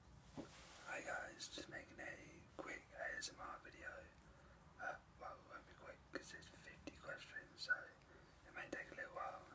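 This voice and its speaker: Whispering in a relaxed tone at a moderate pace, a man's loudness swings widely, with noticeable background noise behind him. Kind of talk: whispered ASMR video answering tag questions. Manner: soft-spoken, whispered, relaxed.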